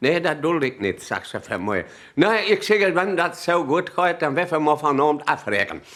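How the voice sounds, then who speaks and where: A man speaks in a Sauerland accent at a moderate pace. His intonation is lively. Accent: Sauerland Low German dialect. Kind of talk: humorous dialect anecdote telling.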